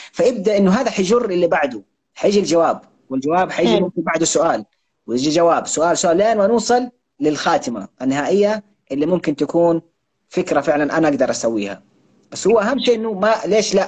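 With lively intonation and very even loudness, a man speaks at a fairly quick pace. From Saudi Arabia, Jeddah (Hejaz). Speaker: content creator and author. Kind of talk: interview.

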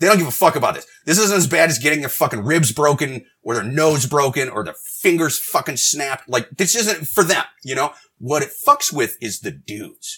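A man with a fairly high pitch talks at a moderate pace with hardly any pauses, using lively intonation in an animated, bright, sharp tone. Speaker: podcast host, comedian. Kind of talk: casual comedic banter. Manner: animated, profane, jokey.

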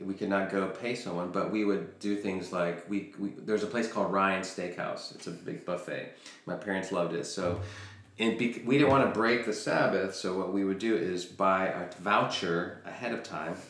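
A man with an American accent speaks at a moderate pace, with fairly low pitch and fairly even intonation. Noticeable background noise and audible room echo are present. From Chile, raised in the US from about age four. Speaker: podcast guest, entrepreneur. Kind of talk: casual chat. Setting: dining room at home.

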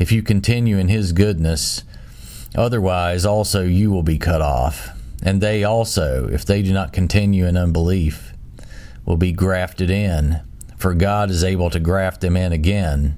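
Against noticeable background noise, a man with a very deep, low pitch speaks at a moderate pace with ordinary pitch variation. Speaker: Bible study host reading scripture. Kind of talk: scripture reading aloud. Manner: solemn, measured, reverent; steady, formal.

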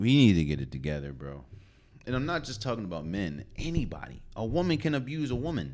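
A man's fairly low voice with vocal fry, very wide pitch swings and a fairly quick pace. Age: 20s. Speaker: sports podcast host. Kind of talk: casual solo commentary. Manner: animated.

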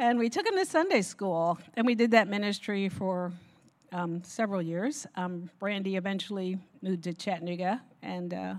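A woman speaks in a normal speaking voice with an American accent at a moderate pace. Her pitch is medium, with ordinary pitch variation. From Newark, New Jersey. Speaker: pastor's wife. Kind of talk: testimony.

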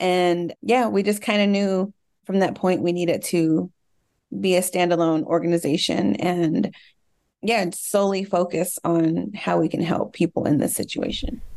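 Speaking at a moderate pace in an unremarkable speaking voice, a woman keeps a fairly low pitch, ordinary pitch variation, and very even loudness. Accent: American. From US South, Dallas, Texas. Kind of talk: interview.

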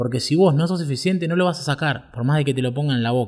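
The recording is very clean, with a silent background. A man speaks somewhat breathily at a fairly high pitch with lively intonation. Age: 30s. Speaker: podcast host, web developer. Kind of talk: personal storytelling monologue. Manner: halting, frequent fillers and repetitions.

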